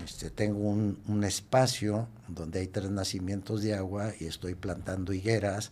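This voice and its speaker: A man speaks in a dark, mellow tone. His pace is fairly slow. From Mexico, Nayarit coast (San Blas). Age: 60s. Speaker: activist. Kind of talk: interview conversation. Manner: hesitant, many fillers and repetitions.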